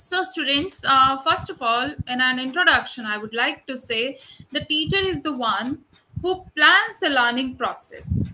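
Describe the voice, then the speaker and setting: Using a raised, projected voice, a woman speaks at a fairly slow pace with lively intonation. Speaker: university lecturer. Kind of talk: lecture. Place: home room. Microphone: webcam.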